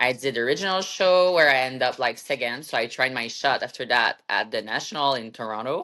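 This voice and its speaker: A woman talks at a very fast pace with hardly any pauses, in a French Canadian accent. Her pitch is very deep and low, and her intonation is lively. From Quebec, Canada. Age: 30s. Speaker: bodybuilder and fitness coach. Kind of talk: interview. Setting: podcast.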